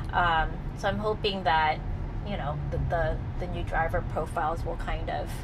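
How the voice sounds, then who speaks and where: There is noticeable background noise as a woman speaks at a moderate pace. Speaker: channel host. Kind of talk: casual explanatory chat. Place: car.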